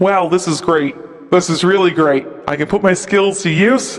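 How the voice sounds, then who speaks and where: A man uses a put-on character voice. It sits at a high pitch. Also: moderate pace. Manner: cheery, excited.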